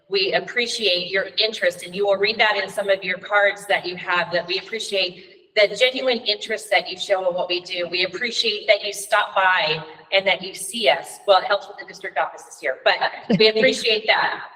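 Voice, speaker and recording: Noticeable background noise fills the recording. Over it, a woman talks at a fairly quick pace with fairly even intonation. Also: medium pitch for a woman, big swings in loudness. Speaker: middle school teacher and coach. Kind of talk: formal address at a school board meeting. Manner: loud.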